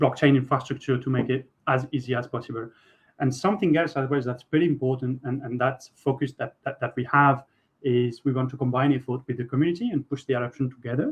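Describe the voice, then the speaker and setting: A man speaks fairly quickly with a French accent. His pitch is medium and his intonation fairly even. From France. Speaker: software architect. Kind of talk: tech workshop presentation. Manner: halting, many fillers and repeats.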